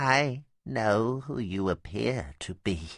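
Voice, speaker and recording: A croaky, put-on character voice at a very slow pace, on a very clean recording with a silent background. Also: man, medium pitch for a man. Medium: read story.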